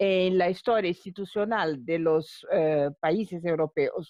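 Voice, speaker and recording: Spoken with a non-native accent, the voice carries lively intonation. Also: woman. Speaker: law academic, panelist. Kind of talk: conference talk. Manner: halting, many repetitions.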